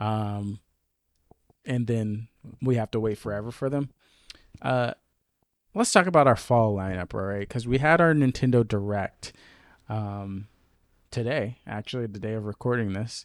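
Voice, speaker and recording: In a very clean recording with a silent background and a dry, close sound with no echo, a man speaks at a moderate pace and medium pitch, with ordinary pitch variation and long, frequent pauses. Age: 20s. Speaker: gaming podcast host. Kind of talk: casual chat.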